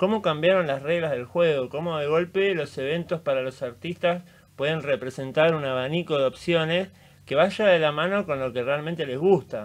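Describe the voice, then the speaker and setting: The pace of this man's speech is moderate. Ordinary variation shows in his pitch. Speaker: radio host or guest. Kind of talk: radio conversation. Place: studio. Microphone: studio mic.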